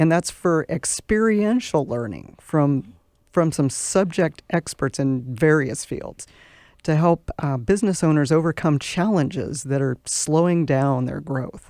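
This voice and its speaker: A woman with an American accent, very deep, low pitch and a dark, mellow tone, lively intonation at a fairly slow pace, in a dry, close, very clean recording with no echo and a silent background. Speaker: business club president. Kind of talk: radio interview. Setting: studio.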